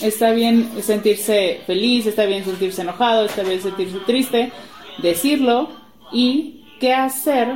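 Fairly slow, fairly high female voice with ordinary pitch variation, over noticeable background noise. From Guadalajara, Mexico. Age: 20s. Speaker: podcast co-host, preschool teacher, mother. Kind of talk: casual chat.

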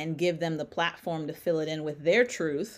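A woman speaks in a fairly low pitch with a northeastern US accent. The recording is very clean, the background silent. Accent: American, northeastern. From US Northeast, Connecticut. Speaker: music therapist and soul singer. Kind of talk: interview.

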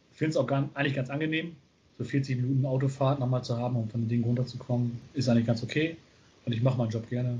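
With a somewhat breathy sound, a man speaks at a very fast pace and medium pitch, his intonation fairly even. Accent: northern German. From northern Germany, small town near Bremen. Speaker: educator in youth welfare. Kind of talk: casual chat. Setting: video call. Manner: relaxed, easygoing.

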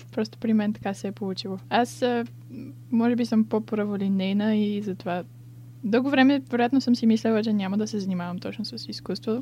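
Speaking fairly quickly, a woman has a somewhat breathy voice at medium pitch with a dark, mellow tone. Her intonation is lively. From Bulgaria, Sofia. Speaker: illustration student. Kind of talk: interview.

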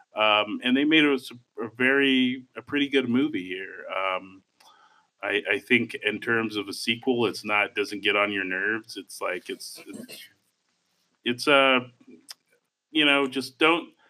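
Speaking fairly slowly at a medium pitch, a man uses ordinary pitch variation and leaves long, frequent pauses. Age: 30s. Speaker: film podcast co-host. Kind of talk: casual chat.

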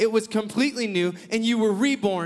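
A man talks loudly at a moderate pace, his high pitch held in fairly even intonation. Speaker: preacher. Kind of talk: sermon.

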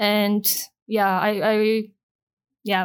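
A woman with a Japanese accent speaks at a medium pitch. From Japan, Osaka. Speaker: business manager and former DJ. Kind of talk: casual interview chat.

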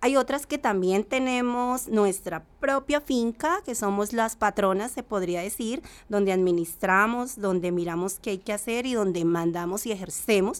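A woman with a medium pitch speaks at a fairly slow pace with hardly any pauses, a normal speaking voice with ordinary pitch variation. The recording is very clean, with a silent background. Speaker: rural farmer and association member. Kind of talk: testimony.

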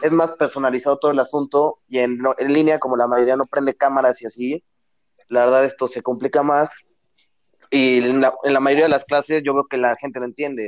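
At a fairly quick pace, a man speaks in a fairly high, monotone, flat voice, the sound dry and close with no echo. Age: 20s. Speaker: university student. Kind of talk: casual chat.

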